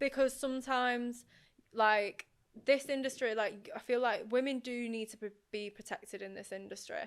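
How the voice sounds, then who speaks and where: Speaking with a Northern English accent, a woman with a high pitch and fairly even intonation moves at a moderate pace, with big swings in loudness. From northern England, Oldham. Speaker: radio presenter. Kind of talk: casual chat.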